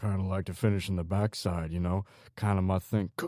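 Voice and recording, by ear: Fairly even intonation, read aloud in a natural voice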